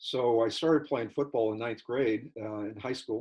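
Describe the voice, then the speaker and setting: A man with a Californian accent at a medium pitch and moderate pace, with ordinary pitch variation. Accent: Californian American. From Southern California, San Diego area. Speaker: church member. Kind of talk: interview. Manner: halting.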